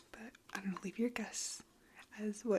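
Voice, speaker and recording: Someone whispers in a relaxed tone at a moderate pace, with noticeable background noise behind them. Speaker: ASMR creator. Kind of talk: soft-spoken ASMR ramble to camera. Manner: soft-spoken, relaxed.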